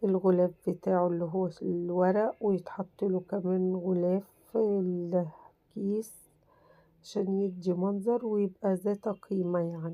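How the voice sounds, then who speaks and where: A woman of medium pitch speaks very slowly in a dark, mellow tone, her intonation flat and monotone. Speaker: crafts YouTuber. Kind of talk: tutorial. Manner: casual, chatty.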